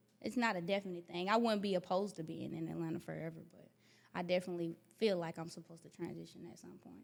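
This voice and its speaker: A woman with an American accent talks very fast at a fairly low pitch, with vocal fry, fairly even intonation and big swings in loudness. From US Midwest (Wisconsin, Minnesota). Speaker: motivational speaker. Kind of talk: interview. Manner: casual.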